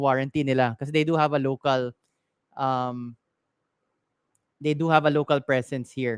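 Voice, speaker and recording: In a Filipino accent, the speaker talks at a fairly quick pace broken by long, frequent pauses. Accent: Filipino English, Taglish code-switching. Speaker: tech shop owner and live-stream tech advice host. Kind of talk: live-stream Q&A, casual chat. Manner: casual, with frequent fillers and restarts.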